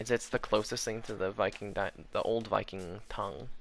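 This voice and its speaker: Moderate-paced speech from a man against a quiet background. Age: 20s. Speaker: gaming streamer. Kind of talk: casual chat.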